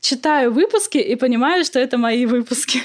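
A woman speaks at a moderate pace with lively intonation. Her pitch is high. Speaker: literary podcaster, philologist. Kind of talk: casual interview.

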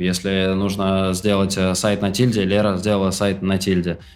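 A man's fairly low voice with audible room echo. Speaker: project management educator, online school founder. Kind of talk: casual interview.

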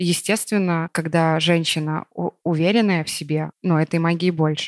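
In a dry, close sound with no echo, a woman speaks at a moderate pace with a fairly low pitch and monotone, flat intonation. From Belarus. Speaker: fashion designer and brand founder. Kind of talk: casual interview conversation. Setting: at home.

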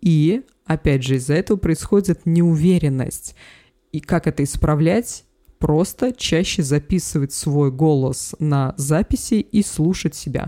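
A woman's very deep, low voice with a dark, mellow tone, lively intonation and very even loudness, at a fairly slow pace, in a dry, close sound with no echo on a very clean recording with a silent background. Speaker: public speaking coach. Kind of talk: interview. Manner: loud, not soft or gentle.

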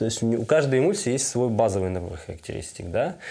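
A man talks at a fairly quick pace with a medium pitch and a dark, mellow tone. His pitch swings very widely. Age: 30s. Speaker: photographer. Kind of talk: casual chat.

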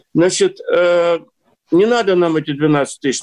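A man talks at a high pitch. The sound is dry and close, with no echo. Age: 60s. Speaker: newspaper editor-in-chief. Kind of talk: casual chat. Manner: animated.

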